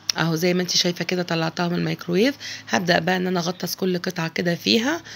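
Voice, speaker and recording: A woman speaks very fast in a fairly low voice with vocal fry. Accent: Egyptian. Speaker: cooking channel host. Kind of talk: cooking tutorial. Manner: chatty, informal.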